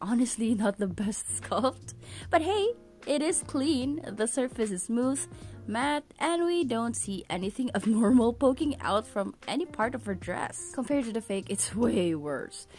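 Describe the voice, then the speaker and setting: A woman speaks at a fairly slow pace in a fairly high pitch. Her pitch swings very widely over music in the background. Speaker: figure collector reviewer. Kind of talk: product review narration.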